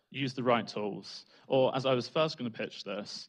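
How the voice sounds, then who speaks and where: A man speaks with a British accent. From Britain. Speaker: data analytics trainer. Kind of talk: conference talk.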